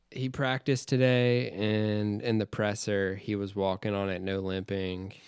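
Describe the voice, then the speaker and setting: Hardly pausing, a man with an ordinary speaking voice talks at a fairly slow pace, his fairly low pitch and fairly even intonation captured on a very clean recording with a silent background. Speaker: podcast co-host. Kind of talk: casual chat.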